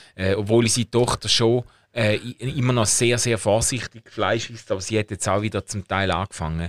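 A man with an unremarkable speaking voice, fairly low in pitch, fairly even intonation and moderate pace, dry and close with no echo on a very clean recording with a silent background. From Schaffhausen, eastern Switzerland. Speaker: podcast co-host. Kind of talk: casual chat.

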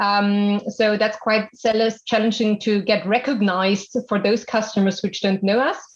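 At a moderate pace and with hardly any pauses, a woman with a fairly high, somewhat breathy voice keeps a monotone, flat intonation and very even loudness. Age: 30s. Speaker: business executive. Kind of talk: interview.

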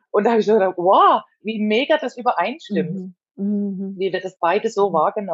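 Talking at a fairly quick pace, a woman has a plain, everyday voice at medium pitch with ordinary pitch variation. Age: 30s. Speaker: spiritual training student. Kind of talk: casual chat.

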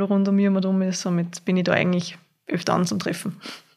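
A woman speaks at medium pitch in a dark, mellow tone with monotone, flat intonation. The recording is very clean, with a silent background. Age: 20s. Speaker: university student. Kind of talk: casual interview.

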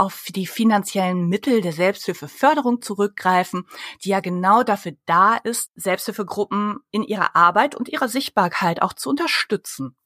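A woman with an unremarkable speaking voice talks at a moderate pace and a medium pitch, with ordinary pitch variation and hardly any pauses, in a dry, close sound with no echo. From Germany. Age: 30s. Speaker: public relations consultant. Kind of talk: interview.

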